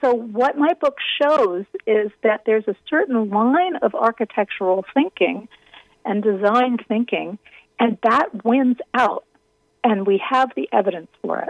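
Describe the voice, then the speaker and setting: Here a woman uses an ordinary speaking voice with lively intonation at a fairly slow pace. The sound is dry and close, with no echo. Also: fairly high pitch for a woman. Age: 50s. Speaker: architecture critic and author. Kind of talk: interview. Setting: radio interview.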